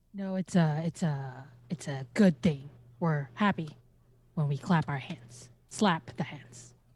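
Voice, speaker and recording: In a put-on character voice at a middle pitch, the speaker goes at a fairly slow pace with a playful tone. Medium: actual play. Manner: playful, teasing.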